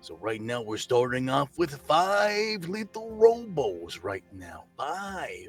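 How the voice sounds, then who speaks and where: A put-on character voice moves at a very slow pace with hardly any pauses. Faint music plays in the background. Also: man, high pitch for a man. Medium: actual play. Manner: hearty, casual showman.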